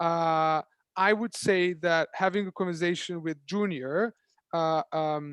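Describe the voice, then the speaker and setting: Against a quiet background, a high-pitched man talks at a very slow pace in a dry, close sound with no echo. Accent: Serbian. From Serbia. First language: Serbian. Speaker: startup founder. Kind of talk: panel Q&A. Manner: halting.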